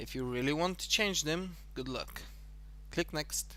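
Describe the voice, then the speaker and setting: A man with an Eastern European accent at a fairly slow pace. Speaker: tutorial creator. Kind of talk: tutorial.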